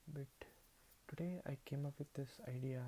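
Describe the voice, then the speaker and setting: A man with a Telugu accent speaks in a dark, mellow tone that is somewhat breathy. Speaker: vlogger. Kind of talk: casual monologue to camera. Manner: halting, many repetitions.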